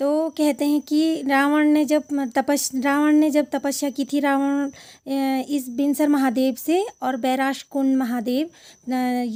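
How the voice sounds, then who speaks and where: A dark, mellow voice with a Garhwali accent and monotone, flat intonation, in a very clean recording with a silent background. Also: woman, high pitch for a woman. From Uttarakhand, Garhwal. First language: Garhwali (speaking Hindi). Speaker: travel vlogger. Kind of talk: vlog narration.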